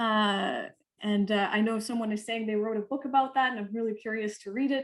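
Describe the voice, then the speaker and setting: A woman talks at a fairly quick pace. Her pitch is fairly high and her intonation fairly even. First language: not English (English is third language). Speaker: poet and artist. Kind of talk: panel discussion. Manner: halting, with many fillers and restarts.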